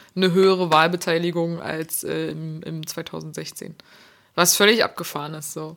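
On a very clean recording with a silent background, a woman speaks at a fairly slow pace and fairly low pitch, in a monotone, flat intonation with big swings in loudness. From Berlin, Germany. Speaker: podcast co-host. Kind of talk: casual chat.

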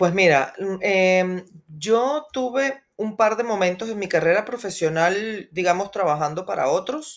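Using a normal speaking voice, a woman talks at a fairly slow pace and a medium pitch with lively intonation. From Venezuela. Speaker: podcast co-host, entrepreneur. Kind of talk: interview, casual chat.

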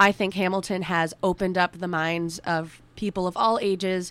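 A woman speaks at a moderate pace in a normal speaking voice, medium in pitch and fairly even in intonation. The recording is very clean, with a silent background. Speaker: guest co-host, theater student. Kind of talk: radio interview. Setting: radio studio.

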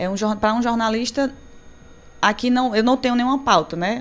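A normal speaking voice at a moderate pace. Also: woman. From Crato, Ceará, Brazil (northeast). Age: 30s. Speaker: journalist. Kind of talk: live radio talk show chat. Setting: radio studio.

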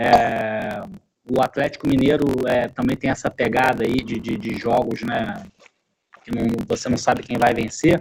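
A man speaks at a fairly slow pace with long, frequent pauses. His medium pitch shows ordinary variation. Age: 40s. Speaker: football pundit. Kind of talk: casual sports discussion.

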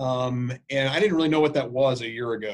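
This man has an unremarkable speaking voice at medium pitch. He keeps a moderate pace with ordinary pitch variation. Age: 40s. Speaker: infectious disease physician and healthcare quality executive. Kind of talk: interview conversation.

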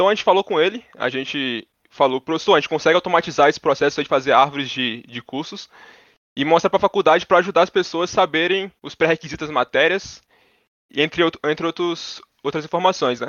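Talking at a very fast pace, a man with a high pitch shows ordinary pitch variation and big swings in loudness. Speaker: computer engineering student. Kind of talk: casual interview.

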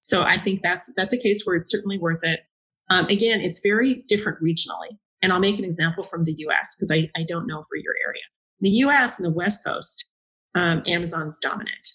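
Speaking fairly quickly at medium pitch, a woman has a bright, sharp tone and ordinary pitch variation. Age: 50s. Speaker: cloud and data technical educator and consultant. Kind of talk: casual interview.

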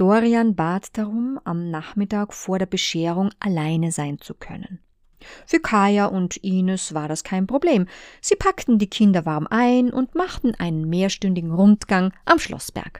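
In a plain, everyday voice, a woman speaks at a fairly slow pace with a medium pitch, ordinary pitch variation and big swings in loudness, the sound dry and close with no echo on a very clean recording with a silent background. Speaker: audiobook author and narrator. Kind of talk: literary audiobook reading, narrating a story in third person. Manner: calm, measured, storytelling cadence with expressive pacing.

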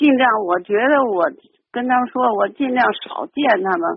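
A woman's high-pitched voice at a moderate pace. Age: 70s. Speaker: caller. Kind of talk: call-in advice talk. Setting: phone call.

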